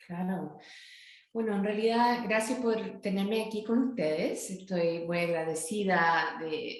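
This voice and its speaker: With audible room echo, a woman speaks at a fairly slow pace and with ordinary pitch variation. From northern California, US. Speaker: academic author. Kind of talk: interview. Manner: halting.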